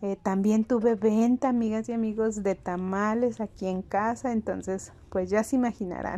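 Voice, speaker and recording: A woman with a Mexican accent, fairly high in pitch with a dark, mellow tone, monotone and flat in intonation, with hardly any pauses. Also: moderate pace. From Mexico. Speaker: home vlogger. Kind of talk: casual vlog narration. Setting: at home.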